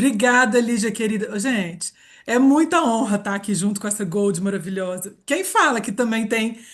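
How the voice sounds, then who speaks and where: With an animated tone and a somewhat breathy voice, a woman talks at a moderate pace with a fairly high pitch and ordinary pitch variation. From Minas Gerais, Brazil. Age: 40s. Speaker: reiki therapist and aromatherapy presenter. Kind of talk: live webinar presentation.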